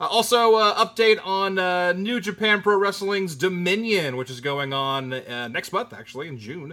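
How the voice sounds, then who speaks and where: Projecting a raised voice, a man speaks high and at a moderate pace in a bright, sharp tone with very wide pitch swings. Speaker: wrestling podcast co-host. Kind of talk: casual chat.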